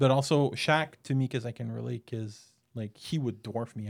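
This man has a normal speaking voice at medium pitch. He talks at a fairly quick pace with fairly even intonation. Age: 40s. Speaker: returning podcast guest. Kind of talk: casual chat.

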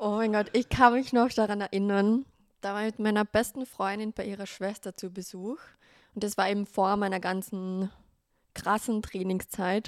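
The voice has a Carinthian accent and a monotone, flat intonation. The recording is very clean, dry and close, with no echo and a silent background. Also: woman, medium pitch for a woman, moderate pace. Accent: Carinthian Austrian German. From Austria, Carinthia. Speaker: make-up artist and content creator. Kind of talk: casual interview chat.

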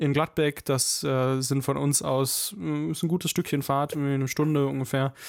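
Fairly high in pitch, a man with a plain, everyday voice speaks at a fairly slow pace with hardly any pauses and very even loudness on a very clean recording with a silent background. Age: 20s. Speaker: podcast host. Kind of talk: casual chat.

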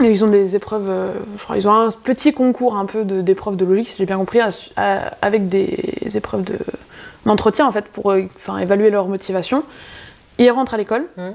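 A woman speaks with long, frequent pauses. Noticeable background noise runs underneath. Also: medium pitch for a woman, ordinary pitch variation, moderate pace. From France, rural area near Bourgueil (Touraine). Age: 20s. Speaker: veterinary student. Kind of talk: casual interview chat.

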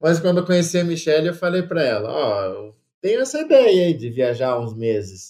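The voice has a dark, mellow tone, very wide pitch swings and a fairly quick pace. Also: man, high pitch for a man. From Brazil. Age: 30s. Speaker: travel content creator. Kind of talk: casual interview.

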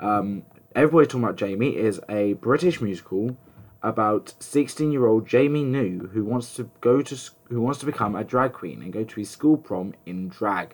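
Speaking at a moderate pace, a man with an English accent has a medium pitch. His pitch variation is ordinary. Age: 20s. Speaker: podcast host and musical theatre student. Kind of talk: casual solo podcast talk.

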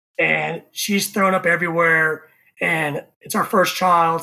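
In an American accent, the voice comes across with a bright, sharp tone. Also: man. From Texas, Houston area (Katy). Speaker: barbecue content creator. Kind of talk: casual chat. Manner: animated.

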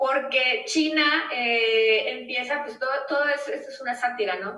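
A raised, projected voice moves at a fairly slow pace with lively intonation, and the room echo is audible. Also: woman. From Mexico, Nuevo León. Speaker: space lawyer. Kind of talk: interview.

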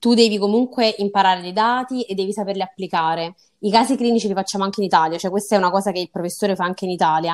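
This is a woman's voice at medium pitch. Her pitch varies in an ordinary way. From southern Italy, Salerno. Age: 20s. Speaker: medical student on Erasmus. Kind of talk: interview.

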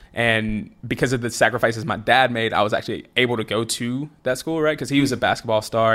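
Medium-pitched male voice with a slight Southern US accent, very clean recording, silent background. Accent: slight Southern drawl. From US South. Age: 20s. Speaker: former college football player. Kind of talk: casual chat.

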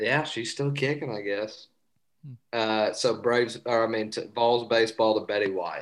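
A man speaks at a moderate pace with an East Tennessee accent. His pitch sits in the middle range, and his intonation stays fairly even. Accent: Southern US (East Tennessee). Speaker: sports podcast co-host. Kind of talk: casual chat. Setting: remote call.

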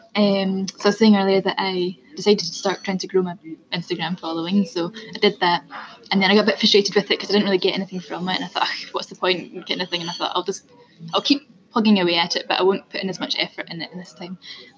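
Over noticeable background noise, a woman with a medium pitch speaks at a very fast pace with fairly even intonation and big swings in loudness. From Scotland. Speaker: marketing business owner. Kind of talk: casual interview chat. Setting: public place with people around.

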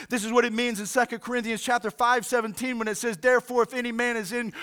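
A man with an American accent talks in an animated tone at an extremely high pitch. Noticeable background noise runs underneath. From Oklahoma City, Oklahoma. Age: 50s. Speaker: pastor. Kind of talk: sermon. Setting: recorded church service streamed online.

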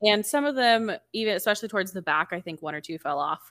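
A woman speaks at a fairly quick pace and a medium pitch, with an animated tone and lively intonation. The sound is dry and close with no echo, on a very clean recording with a silent background. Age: 20s. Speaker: book podcast co-host. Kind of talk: casual chat. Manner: animated, talks with her hands.

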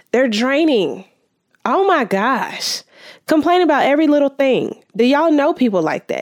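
A woman speaks at a moderate pace with an animated tone. Her pitch swings very widely. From Southern California desert (Victorville). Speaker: podcast host. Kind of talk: casual monologue.

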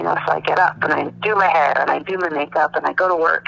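Over noticeable background noise, a woman with a fairly low pitch talks very fast with ordinary pitch variation. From Calgary, Alberta, Canada. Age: 30s. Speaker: widow sharing her grief story. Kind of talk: personal testimony interview.

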